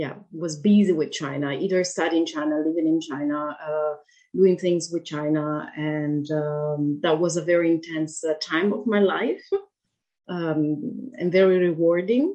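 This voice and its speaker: With an Italian accent, a woman talks at a fairly slow pace in a dark, mellow tone. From Italy. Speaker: author. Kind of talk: interview conversation. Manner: halting, hesitant with fillers.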